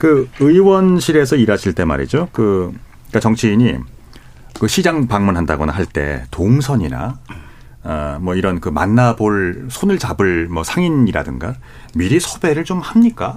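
At a fairly slow pace, a man with a fairly low voice speaks with very wide pitch swings. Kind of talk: radio panel discussion moderation. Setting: radio studio.

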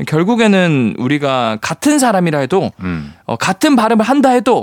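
Recorded dry and close with no echo, a man speaks at a moderate pace in a high pitch with very wide pitch swings. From South Gyeongsang, Changnyeong. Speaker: science communicator. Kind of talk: radio science segment. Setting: radio studio.

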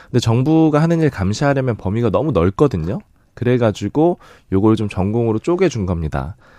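Against a quiet background, a dark, mellow voice moves at a fairly quick pace with lively intonation, recorded dry and close with no echo. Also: man. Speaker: newspaper reporter. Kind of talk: news explainer.

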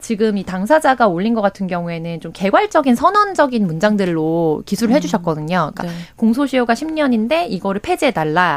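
Her pitch fairly high and swinging very widely, a woman talks at a fairly quick pace. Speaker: political commentator. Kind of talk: radio current affairs talk.

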